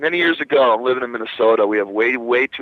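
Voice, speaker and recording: Talking at a fairly quick pace, a man speaks with a New Jersey accent. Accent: New Jersey American. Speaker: rock guitarist. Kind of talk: radio interview. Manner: animated.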